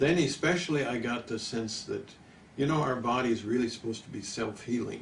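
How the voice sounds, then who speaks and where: A man talks at a fairly quick pace with a medium pitch and ordinary pitch variation. Room echo is audible, and there is noticeable background noise. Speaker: nutrition doctor. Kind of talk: interview. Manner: halting.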